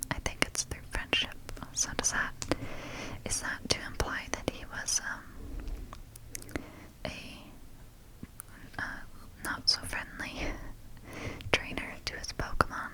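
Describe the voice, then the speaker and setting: A woman whispers at a very slow pace, her loudness swinging widely. Noticeable background noise can be heard. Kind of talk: ASMR page-flipping guidebook reading. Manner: whispered.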